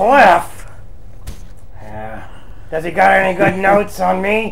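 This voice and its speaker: Putting on a character voice, a man speaks at a fairly slow pace in a high pitch over clear background noise. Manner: sarcastic.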